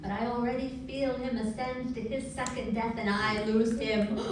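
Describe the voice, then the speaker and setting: Noticeable background noise accompanies a woman with an American accent. Her fairly high voice stays monotone and flat at a moderate pace. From New York City. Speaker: poet and activist. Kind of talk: slam poetry performance.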